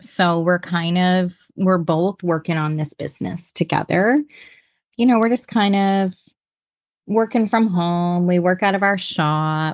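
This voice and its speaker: Here a woman with a Canadian accent has an unremarkable speaking voice at a medium pitch with ordinary pitch variation. Her pace is fairly slow, and the sound is dry and close with no echo. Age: 50s. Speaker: entrepreneur. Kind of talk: interview.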